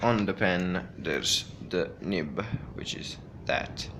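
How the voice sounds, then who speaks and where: Audible room echo follows a man speaking at a very slow pace. His very deep, low voice has a bright, sharp tone. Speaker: gaming hardware reviewer. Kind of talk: unboxing tutorial. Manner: halting, many fillers.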